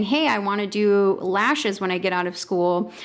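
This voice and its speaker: A woman speaks at a moderate pace in a normal speaking voice, her pitch sitting in the medium range. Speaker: podcast host, business coach. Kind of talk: interview conversation.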